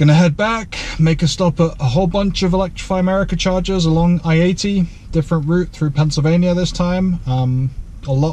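A man's high voice at a moderate pace, with fairly even intonation and very even loudness. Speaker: EV road trip vlogger. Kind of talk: casual vlog chat. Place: car. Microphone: camera far.

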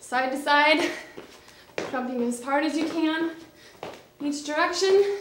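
The speech moves at a very slow pace with long, frequent pauses. Noticeable background noise is present. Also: woman, high pitch for a woman, ordinary pitch variation. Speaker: fitness instructor. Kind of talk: follow-along workout coaching, counting down intervals while exercising. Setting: home workout video filmed while exercising. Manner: breathless, clipped countdown cues mid-exertion. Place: studio.

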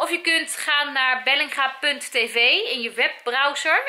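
Here a woman is speaking. Her pitch variation is ordinary. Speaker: family vlogger. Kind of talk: casual vlog chat. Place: home room. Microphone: phone near.

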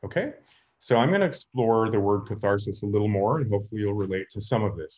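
A man speaks at a fairly quick pace, his fairly low voice somewhat breathy. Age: 50s. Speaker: lecturer on storytelling. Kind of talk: lecture. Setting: video call. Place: home room. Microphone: webcam.

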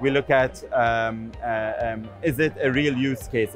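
The sound is dry with no echo, and faint music plays in the background. The intonation is fairly even. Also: man. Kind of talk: interview answer. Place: booth. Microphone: lapel.

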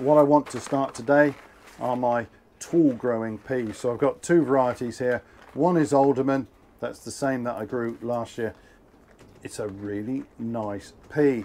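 Against light background noise, a man talks at a fairly slow pace with ordinary pitch variation and long, frequent pauses. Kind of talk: gardening tutorial vlog. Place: garden. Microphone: camera far.

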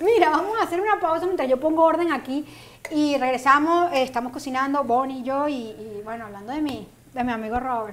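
This woman has a high pitch and lively intonation. She talks at a fairly quick pace. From Venezuela. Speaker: cooking show host. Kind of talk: casual chat; tutorial. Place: studio. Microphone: lapel.

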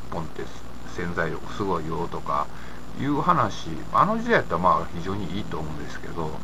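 A man's very deep, low voice in an Osaka accent, at a moderate pace, with noticeable background noise. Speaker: independent commentator. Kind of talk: casual talk to camera. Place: home room. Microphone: webcam.

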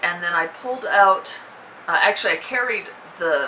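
Faint background noise lies beneath a woman speaking fairly slowly at a medium pitch in a bright, sharp tone.

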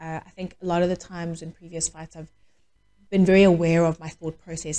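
A woman speaks very fast. Her fairly low voice stays flat and monotone. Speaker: podcast interviewee. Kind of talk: interview answer. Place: gym. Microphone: handheld.

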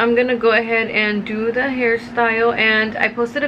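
A woman's voice comes through with noticeable background noise behind it. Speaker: beauty vlogger. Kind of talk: casual vlog chat. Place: home room. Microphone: phone near.

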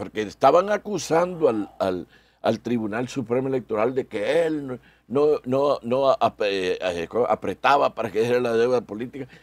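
This man has a plain, everyday voice at a medium pitch with lively intonation. He talks at a moderate pace in a dry sound with no echo. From El Salvador. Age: 60s. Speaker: electoral magistrate and lawyer; interview guest. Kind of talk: radio interview. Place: studio.

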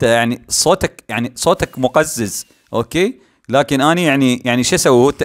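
With an Iraqi accent and lively intonation, a man speaks at a fairly high pitch in a very clean recording with a silent background and a dry, close sound with no echo. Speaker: gaming YouTuber. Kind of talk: gameplay commentary. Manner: animated; halting, many fillers.

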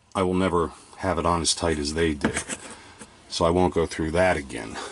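At a fairly slow pace, a man talks in a very deep, low voice. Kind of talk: tutorial. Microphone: phone near.

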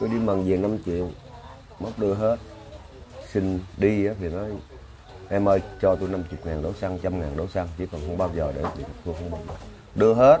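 Amid noticeable background noise, a man with a Southern Vietnamese accent speaks in a very deep, low voice with fairly even intonation and long, frequent pauses. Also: moderate pace. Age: 60s. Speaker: victim's father. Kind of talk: interview. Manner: halting.

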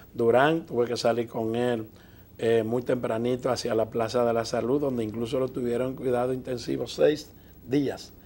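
A man is speaking. His tone is dark and mellow, and his intonation is monotone and flat. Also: medium pitch for a man, moderate pace. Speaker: TV interview show host. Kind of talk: TV interview. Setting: TV studio. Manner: formal.

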